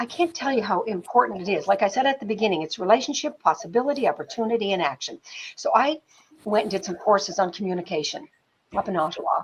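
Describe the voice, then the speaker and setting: Talking very fast with a Canadian accent, a woman has a fairly high pitch and a somewhat breathy voice. Her tone is animated, with very wide pitch swings. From Canada, northern New Brunswick. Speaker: film producer. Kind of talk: interview storytelling. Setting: live stream interview.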